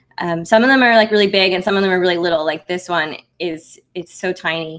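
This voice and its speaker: A woman at a fairly low pitch, very fast pace, and ordinary pitch variation. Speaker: maker YouTuber. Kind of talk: livestream update. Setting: livestream with screen share. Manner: soft-spoken; casual, halting with fillers.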